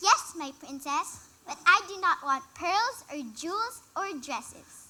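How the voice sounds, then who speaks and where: At a fairly slow pace, the speaker uses a put-on character voice at an extremely high pitch. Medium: stage play. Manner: polite, earnest.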